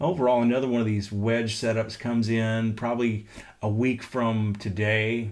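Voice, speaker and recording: A normal speaking voice from a man, with fairly even intonation. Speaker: meteorologist. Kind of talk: weather update livestream. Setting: at home.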